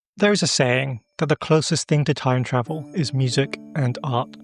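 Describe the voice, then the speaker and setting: With music playing in the background, a man speaks at a fairly high pitch and with ordinary pitch variation. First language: not Japanese. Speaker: history video narrator. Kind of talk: documentary narration.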